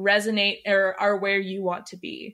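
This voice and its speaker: Speaking with an American accent, a woman with a normal speaking voice talks at medium pitch and a fairly slow pace on a very clean recording with a silent background. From Texas. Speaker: body-positivity influencer. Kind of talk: interview.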